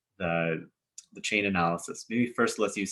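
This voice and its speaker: At a fairly low pitch, a man talks in a normal speaking voice. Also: very clean recording, silent background. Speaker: social work instructor. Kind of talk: lecture.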